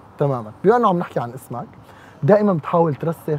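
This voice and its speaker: With a Syrian accent, a man talks at a fairly quick pace, the sound dry with no echo and light background noise. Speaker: radio host. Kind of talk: casual interview. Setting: live audience. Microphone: lapel.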